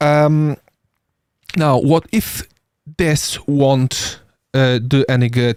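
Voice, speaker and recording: A man speaks with a non-native accent at a fairly high pitch. The sound is dry and close with no echo. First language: not English. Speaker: paramedic. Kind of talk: podcast discussion. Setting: live stream. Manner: halting.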